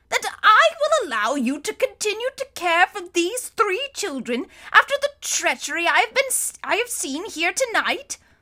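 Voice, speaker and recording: A woman's put-on character voice at an extremely high pitch, with very wide pitch swings and a moderate pace. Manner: exasperated.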